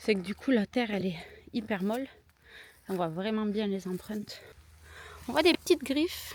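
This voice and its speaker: In a southern French accent, a somewhat breathy woman speaks at a moderate pace in a fairly high pitch, with lively intonation and long, frequent pauses. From southern France. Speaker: vlogger. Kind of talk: casual vlog narration. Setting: outdoors.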